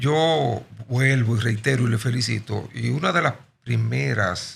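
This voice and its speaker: A man talks at medium pitch with vocal fry. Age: 60s. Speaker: nationalist movement leader. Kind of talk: podcast interview.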